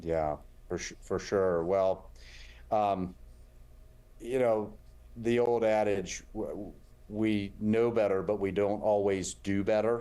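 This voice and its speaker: A man's dark, mellow, fairly low voice in a Southern US accent, very slow and fairly even, with long, frequent pauses. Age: 50s. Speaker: heart surgeon. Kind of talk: interview.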